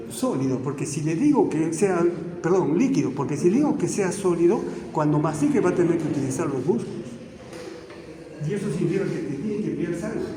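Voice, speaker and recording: Lively intonation marks a man's high-pitched voice at a fairly quick pace. There is audible room echo and noticeable background noise. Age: 60s. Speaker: physician and medical lecturer. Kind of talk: lecture.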